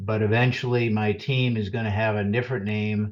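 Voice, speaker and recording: Here a man has an unremarkable speaking voice with a fairly low pitch. He keeps a moderate pace and fairly even intonation. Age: 60s. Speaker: financial advisor. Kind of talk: webinar presentation. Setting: webinar.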